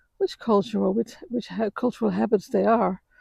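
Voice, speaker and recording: Speaking at a moderate pace with a non-native accent, this voice has a calm tone and a dark, mellow tone, captured in a dry, close sound with no echo. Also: woman. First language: not English. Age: 60s. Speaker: vlogger. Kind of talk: walk-and-talk personal reflection. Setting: outdoors, walking after sunrise. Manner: halting, many fillers and repetitions; calm, reflective.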